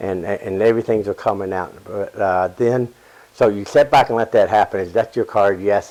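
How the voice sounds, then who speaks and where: At a moderate pace, the intonation stays fairly even. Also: man, fairly low pitch for a man. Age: 60s. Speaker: comedy magician. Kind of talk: casual chat. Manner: halting.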